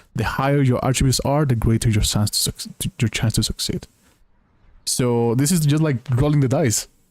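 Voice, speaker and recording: A man's somewhat breathy, medium-pitched voice with a non-native accent, moderate pace, ordinary pitch variation and very even loudness, dry and close with no echo. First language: not English. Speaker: video game streamer. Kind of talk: gameplay stream reading game text aloud; casual chat to viewers. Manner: halting over unfamiliar words.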